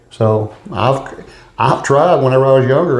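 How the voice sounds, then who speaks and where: Somewhat breathy and medium-pitched, a man speaks with an East Texas accent amid audible room echo. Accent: East Texas Southern US. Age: 60s. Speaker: political candidate. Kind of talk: interview.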